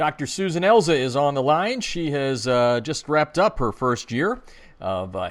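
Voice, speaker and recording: On a very clean recording with a silent background, a man with an unremarkable speaking voice talks at a fairly quick pace, with a medium pitch and lively intonation. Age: 50s. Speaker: radio show host. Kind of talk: radio interview.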